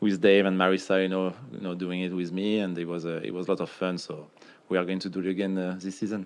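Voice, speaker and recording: Speaking very fast, a man keeps his intonation fairly even. His pitch is very deep and low. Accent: French. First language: French. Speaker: retired pro soccer player. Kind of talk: casual chat. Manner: hesitant, many fillers.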